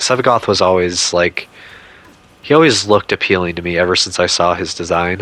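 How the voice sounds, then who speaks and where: Through noticeable background noise, a man with a very deep, low voice speaks at a fairly quick pace. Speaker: gaming YouTuber. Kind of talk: casual video commentary. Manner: stuttering; hesitant, filler-heavy.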